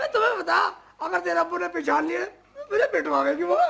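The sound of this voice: A man puts on a character voice with an extremely high pitch, a bright, sharp tone and vocal fry. He talks at a fairly quick pace with lively intonation.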